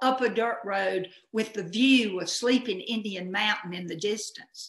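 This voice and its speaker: A woman with a Southern US accent speaks at a fairly slow pace with lively intonation. There is audible room echo over a quiet background. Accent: Southern American. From Southern United States. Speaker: hobbyist storyteller. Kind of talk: personal story performance. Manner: humorous. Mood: humorous, lively. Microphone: webcam.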